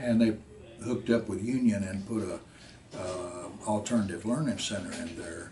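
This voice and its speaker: A man with a western Kentucky accent and a fairly low pitch talks at a moderate pace with ordinary pitch variation and big swings in loudness, over noticeable background noise and audible room echo. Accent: western Kentucky Southern US. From US South. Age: 80s+. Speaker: war veteran. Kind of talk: interview. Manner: halting, many fillers.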